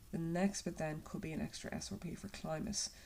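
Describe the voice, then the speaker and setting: In an Irish accent, a woman speaks fairly quickly with a fairly low, dark, mellow voice, vocal fry and fairly even intonation. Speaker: secondary school geography teacher. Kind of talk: recorded lockdown lesson.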